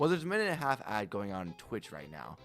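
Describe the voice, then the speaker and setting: Music plays in the background as a man speaks at a very fast pace. His pitch swings very widely. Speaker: streamer. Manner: fast talker.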